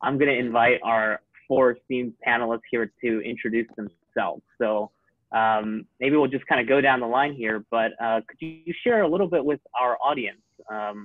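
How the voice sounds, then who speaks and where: Against a quiet background, a man talks at a moderate pace with ordinary pitch variation. The sound is dry, with no echo. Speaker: panel moderator. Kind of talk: webinar moderator introduction. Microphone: video call.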